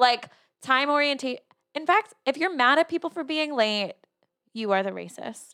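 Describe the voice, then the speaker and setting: In a raised, projected voice, a woman with an American accent talks at a high pitch in a bright, sharp tone, leaving long, frequent pauses, and the sound is dry and close with no echo. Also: moderate pace. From New Jersey, US. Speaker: podcast co-host. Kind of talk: casual chat.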